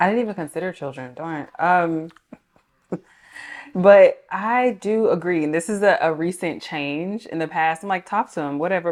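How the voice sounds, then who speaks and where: A woman with a Georgia accent speaks with ordinary pitch variation. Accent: Southern (Georgia). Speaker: relationship talk show guest. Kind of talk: casual chat.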